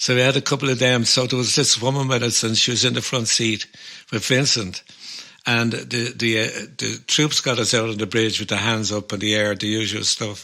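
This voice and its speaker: A man with a Dublin accent, medium in pitch, at a moderate pace. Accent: Dublin Irish. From Ireland. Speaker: folk musician and podcast co-host. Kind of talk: casual chat. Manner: animated storytelling.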